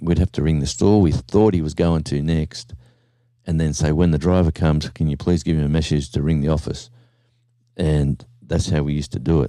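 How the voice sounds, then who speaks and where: A man speaks at a fairly quick pace in a very deep, low voice with a dark, mellow tone. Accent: Australian. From Australia, small country town. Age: 60s. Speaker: livestreamer. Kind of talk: casual chat. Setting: at home. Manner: animated.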